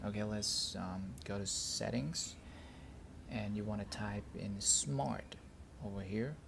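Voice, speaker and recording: A man with a non-native accent talks at a very slow pace in a fairly low, somewhat breathy voice, with audible room echo around him. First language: not English. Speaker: tech reviewer. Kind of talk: tutorial. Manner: halting; casual.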